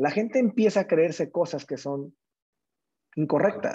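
A man with a Mexican accent, high in pitch, at a moderate pace, with lively intonation and a dark, mellow tone. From Mexico, small town in Jalisco. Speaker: entrepreneur. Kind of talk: casual interview chat.

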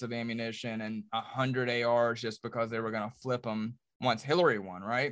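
A man with an American accent, medium-pitched and fairly quick, over a quiet background. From Charlotte, North Carolina. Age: 40s. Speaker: reality TV star and businessman.

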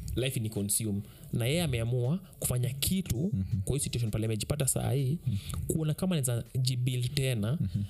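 A man in a plain, everyday voice speaks at medium pitch and a fairly quick pace, with lively intonation, very even loudness and hardly any pauses. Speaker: podcast co-host. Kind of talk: casual chat.

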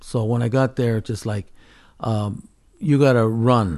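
This man has an ordinary speaking voice at medium pitch, moving at a moderate pace with ordinary pitch variation. The background is quiet. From California Central Valley (Fresno). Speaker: mixed media artist. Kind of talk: casual interview. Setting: artist's studio.

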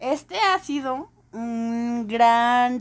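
A woman's voice, fairly high in pitch. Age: 30s. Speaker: podcast co-host. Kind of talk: casual chat. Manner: laughs often.

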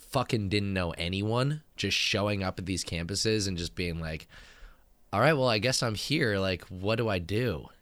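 In a very clean recording with a silent background, a man with a very deep, low pitch speaks at a moderate pace with an American accent and ordinary pitch variation. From Northern California (San Francisco Bay Area). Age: 30s. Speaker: podcast co-host. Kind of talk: casual chat.

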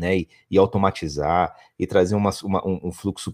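Against a quiet background, a man's voice comes through with a dry, close sound and no echo. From São Paulo state countryside, Brazil. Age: 40s. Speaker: company founder and CEO. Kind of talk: interview. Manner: halting, many repeated words.

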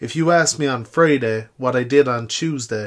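A man with an Irish accent in a very clean recording with a silent background. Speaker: podcaster. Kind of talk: casual monologue. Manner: chatty, informal.

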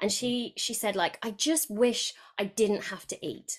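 A woman talks with a British accent. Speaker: podcast guest and coach. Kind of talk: casual interview chat.

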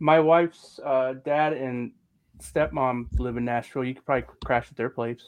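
A man with an unremarkable speaking voice talks at medium pitch and a moderate pace, with big swings in loudness. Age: 40s. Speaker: wrestling podcast co-host. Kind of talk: casual chat.

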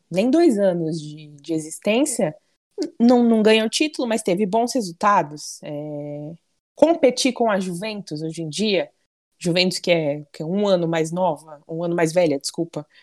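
A woman with a normal speaking voice and fairly low pitch talks at a fairly slow pace with lively intonation in a very clean recording with a silent background. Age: 20s. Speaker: football fan club president. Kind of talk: casual chat.

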